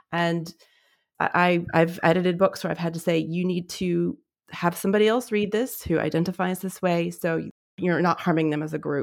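On a very clean recording with a silent background, a woman with an American accent speaks at a fairly quick pace in a fairly low pitch, with vocal fry and fairly even intonation. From US Southwest, New Mexico. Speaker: freelance editor. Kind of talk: casual chat.

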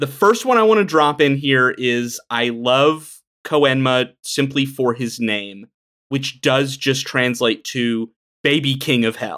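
On a very clean recording with a silent background, the speech comes at a very slow pace with ordinary pitch variation. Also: man, medium pitch for a man. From Appalachia. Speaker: podcast co-host. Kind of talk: casual chat.

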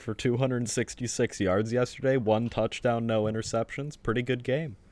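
A normal speaking voice at a moderate pace. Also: man. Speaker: podcast co-host. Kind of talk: casual comedic banter podcast.

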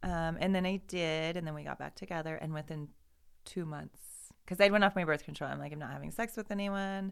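A woman talks fairly quickly in a plain, everyday voice with an American accent, pitched fairly low. Her pitch varies in an ordinary way, while her loudness swings widely. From Idaho, Boise area. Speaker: person in recovery. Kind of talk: casual chat.

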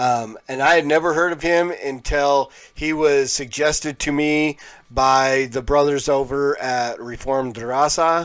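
A man with a fairly high pitch talks at a fairly slow pace with fairly even intonation, in a very clean recording with a silent background. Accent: American. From Colorado, Pueblo. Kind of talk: live reaction and review stream. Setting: live YouTube stream. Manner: casual, hesitant with many fillers.

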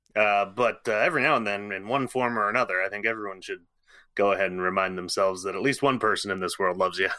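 Recorded very cleanly against a silent background, a man with an ordinary speaking voice and a fairly low pitch speaks with fairly even intonation. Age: 30s. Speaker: podcast host. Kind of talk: casual chat; reading aloud.

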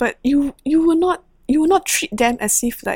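A woman's somewhat breathy, fairly slow speech, dry and close with no echo, on a very clean recording with a silent background. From Singapore. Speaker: nurse and humanitarian aid worker. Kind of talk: interview conversation.

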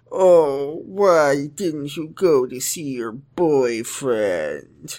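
A man puts on a character voice with a fairly high pitch. He moves at a very slow pace with lively intonation. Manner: sad.

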